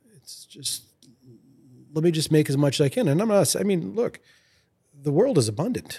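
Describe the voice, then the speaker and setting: With big swings in loudness and very wide pitch swings, a man speaks with long, frequent pauses. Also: moderate pace. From Lewiston, Maine (French Canadian family). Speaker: fly rod company founder. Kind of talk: casual interview.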